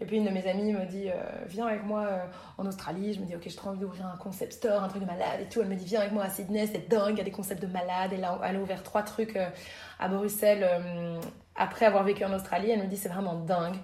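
A woman's medium-pitched voice, flat and monotone, at a very fast pace, with noticeable background noise and audible room echo. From Belgium, Brussels. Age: 30s. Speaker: yoga teacher and entrepreneur. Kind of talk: casual interview.

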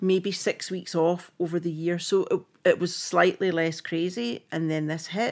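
A woman with a medium pitch speaks in a Scottish accent, captured in a very clean recording with a silent background. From Scotland. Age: 50s. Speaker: film costume designer. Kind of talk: casual chat. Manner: animated.

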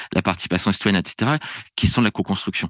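A fairly low-pitched man in a dry, close sound with no echo and a quiet background. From France. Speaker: public administration researcher and lecturer. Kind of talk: podcast interview.

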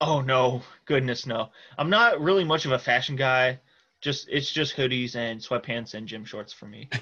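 With a Midwestern US accent, the speaker has a bright, sharp tone at a moderate pace. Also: man, medium pitch for a man, ordinary pitch variation, big swings in loudness, quiet background. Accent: US Midwest. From Iowa, Cedar Rapids. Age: 20s. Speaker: football supporter. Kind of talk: casual chat.

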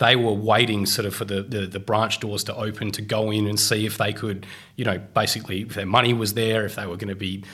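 A man's fairly low voice in a flat monotone, with an Australian accent. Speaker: economist. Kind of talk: podcast interview.

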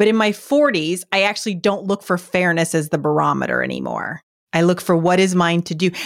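This put-on character voice is raspy, moving at a fairly quick pace with ordinary pitch variation. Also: woman, fairly low pitch for a woman. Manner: fast-paced.

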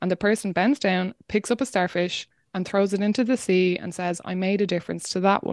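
A woman with an Irish accent speaks at a fairly quick pace and medium pitch, with fairly even intonation. The background is quiet, and the sound is dry and close with no echo. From Ireland, rural County Wexford. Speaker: climate podcast host and activist. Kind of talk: interview.

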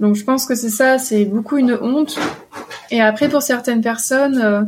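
A woman with a high pitch speaks at a moderate pace, her intonation fairly even. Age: 20s. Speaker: psychosexology student. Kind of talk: interview. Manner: halting.

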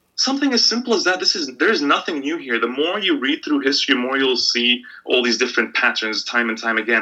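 A man speaks very fast with hardly any pauses. Background noise is noticeable. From Middle East (Bahrain and Egypt). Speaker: sports and politics journalist. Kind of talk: interview.

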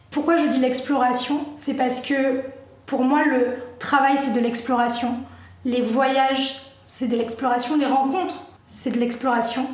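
The room echo is audible, and noticeable background noise sits behind her. A woman with a high pitch speaks at a fairly slow pace, her loudness very even and her intonation fairly even. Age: 30s. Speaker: digital marketing agency owner. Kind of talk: casual chat.

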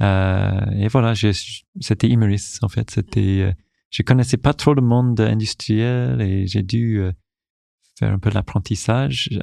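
In an English accent, a man speaks very slowly at a fairly low pitch with ordinary pitch variation. The sound is dry and close, with no echo. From Newfoundland, Canada. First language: English (speaking French). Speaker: corporate digital communications director. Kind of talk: interview. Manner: halting, with many repetitions.

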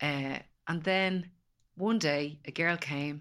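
With an Irish accent and fairly even intonation, a woman speaks on a very clean recording with a silent background. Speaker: empowerment coach. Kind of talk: casual chat.

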